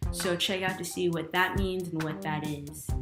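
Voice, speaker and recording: Music plays in the background as a woman speaks at a fairly quick pace with a medium pitch. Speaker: YouTube host, interviewer. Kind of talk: video intro to camera.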